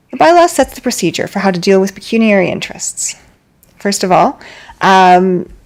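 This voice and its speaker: A woman with an ordinary speaking voice talks at a fairly quick pace, her medium pitch showing ordinary pitch variation. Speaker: governance trainer presenting to council. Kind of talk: training presentation.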